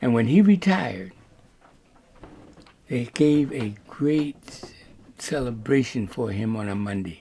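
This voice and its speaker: A man with an American accent speaks in a dark, mellow voice at a medium pitch, with lively intonation. His pace is very slow, and he leaves long, frequent pauses. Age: 80s+. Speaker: author. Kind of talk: interview.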